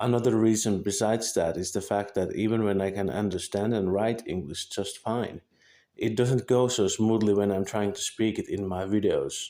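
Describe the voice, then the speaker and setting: At a moderate pace, a man speaks in a fairly low, dark, mellow tone with fairly even intonation. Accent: Finnish. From Finland. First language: Finnish. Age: 20s. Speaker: vlogger. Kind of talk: scripted monologue. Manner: halting.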